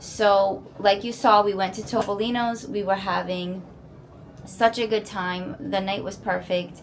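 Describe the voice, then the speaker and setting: A woman's unremarkable speaking voice, an unremarkable speaking voice at medium pitch with fairly even intonation and a fairly slow pace. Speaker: family vlogger. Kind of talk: casual vlog update to camera. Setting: resort hotel room.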